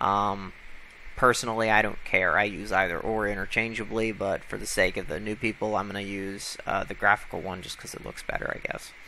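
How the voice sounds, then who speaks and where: With an American accent, a man speaks at a fairly quick pace in a fairly low, flat monotone, his loudness swinging widely over noticeable background noise. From United States. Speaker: tech tutorial maker. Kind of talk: tutorial. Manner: casual, with many fillers.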